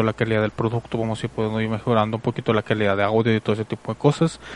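At a very fast pace, a man speaks in a dry, close sound with no echo. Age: 30s. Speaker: online radio host. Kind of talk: casual podcast monologue.

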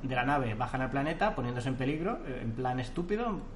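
With audible room echo and noticeable background noise around him, the man's medium-pitched voice shows ordinary pitch variation. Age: 30s. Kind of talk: casual chat.

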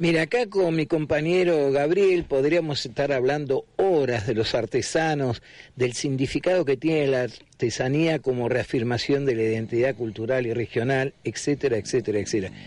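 A man with an unremarkable speaking voice talks at a moderate pace with hardly any pauses. His pitch is fairly high with ordinary variation, and his loudness is very even. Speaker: radio host. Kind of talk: radio interview.

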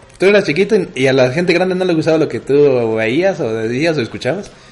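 Noticeable background noise sits behind this recording. A man talks at a fairly quick pace with lively intonation. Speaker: podcast co-host. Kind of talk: casual chat. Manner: laughs often.

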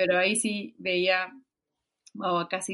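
A woman speaks at a fairly slow pace in a medium pitch. Hers is an unremarkable speaking voice. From Peru. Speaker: musician. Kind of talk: casual interview.

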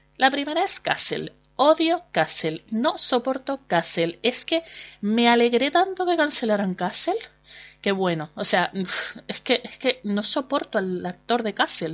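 Using a Canarian accent, a woman with a high pitch speaks at a fairly slow pace with very wide pitch swings. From Canary Islands, Spain. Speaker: podcast host and blogger. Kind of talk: casual monologue. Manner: chatty, hesitant with fillers.

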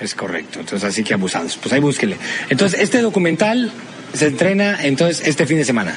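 Noticeable background noise sits behind a man talking at a very fast pace, his fairly high pitch moving in very wide swings. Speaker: podcast host. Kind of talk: casual chat.

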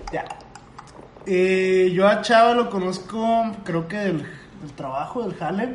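A man with a Mexican accent, high in pitch and very slow, with long, frequent pauses, audible room echo and noticeable background noise. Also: ordinary pitch variation. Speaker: podcast co-host. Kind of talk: casual chat.

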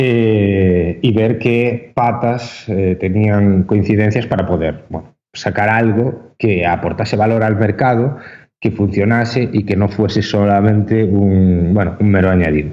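A man speaks at a fairly low pitch and a fairly slow pace, with fairly even intonation. He hardly pauses, and his loudness stays very even. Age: 20s. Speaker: esports entrepreneur. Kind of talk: interview. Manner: halting, frequent repetitions.

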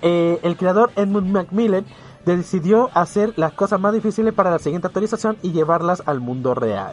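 A man's high voice carries ordinary pitch variation and keeps to a moderate pace. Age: 20s. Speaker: radio host. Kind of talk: casual chat; scripted narration. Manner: animated.

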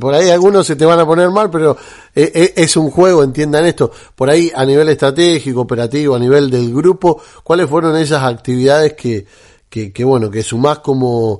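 In a Rioplatense accent, a man speaks at a fairly quick pace with a fairly high pitch. The background is quiet. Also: ordinary pitch variation. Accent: Argentine Spanish (rioplatense). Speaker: radio host. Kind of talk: radio interview. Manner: hesitant, many fillers.

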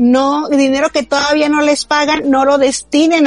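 Over noticeable background noise, a woman talks at a fairly slow pace in a high pitch, the sound dry and close with no echo. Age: 20s. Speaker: podcast co-host. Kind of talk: casual chat.

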